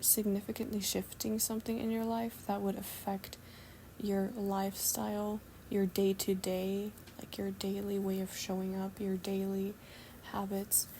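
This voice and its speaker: Soft-spoken and somewhat breathy, a woman talks fairly slowly in a calm, dark, mellow tone with monotone, flat intonation. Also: medium pitch for a woman. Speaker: spiritual channeler doing readings. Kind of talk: channeled message reading. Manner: slow, soft-spoken; calm, cozy.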